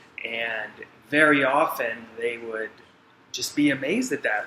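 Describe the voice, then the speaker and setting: A man speaks at a fairly high pitch with ordinary pitch variation. His pace is fairly slow, and there is noticeable background noise. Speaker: person who stutters, interviewee. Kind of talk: interview. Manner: stutters.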